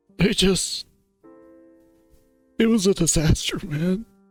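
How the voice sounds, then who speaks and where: Against faint background music, a man puts on a character voice pitched high. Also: fairly slow pace. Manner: upset, tearful.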